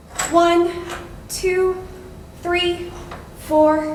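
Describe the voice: In a put-on character voice with extremely high pitch and little pitch movement, a woman speaks at a very slow pace amid audible room echo.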